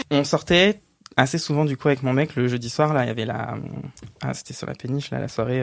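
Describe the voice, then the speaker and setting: A man speaks in a normal speaking voice at a fairly quick pace, with ordinary pitch variation. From Île-de-France, rural village north of Cergy. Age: 30s. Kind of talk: casual chat.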